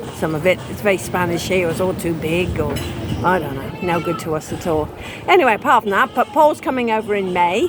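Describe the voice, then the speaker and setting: With an English accent, the speaker moves at a fairly quick pace with lively intonation. Noticeable background noise runs underneath. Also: woman, medium pitch for a woman. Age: 70s. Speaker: vlogger's wife. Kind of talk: casual chat. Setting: outdoors.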